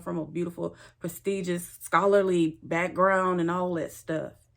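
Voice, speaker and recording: A Louisiana accent at a moderate pace, with fairly even intonation. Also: woman. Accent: Louisiana Southern US. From Louisiana, US South. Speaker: spiritual teacher, tarot reader. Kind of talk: personal introduction monologue.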